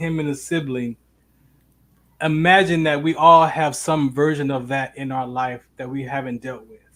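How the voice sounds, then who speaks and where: This is a plain, everyday voice. The man delivers his words at a moderate pace. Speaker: talk show host. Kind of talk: live show hosting.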